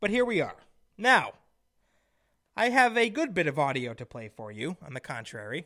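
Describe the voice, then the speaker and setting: In a very clean recording with a silent background, a man with a bright, sharp tone and vocal fry swings very widely in pitch and loudness, leaving long, frequent pauses. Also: fairly high pitch for a man, moderate pace. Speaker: conservative radio host. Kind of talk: political talk radio monologue. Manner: opinionated, emphatic.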